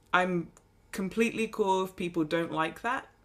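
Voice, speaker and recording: A woman with an English accent talks at a fairly slow pace on a very clean recording with a silent background. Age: 30s. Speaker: golf podcast co-host. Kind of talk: casual chat.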